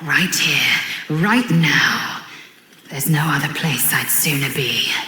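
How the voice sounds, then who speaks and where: A woman uses a put-on character voice with lively intonation at a fairly slow pace, with a slight echo. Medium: machinima. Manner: clipped, proud, formal.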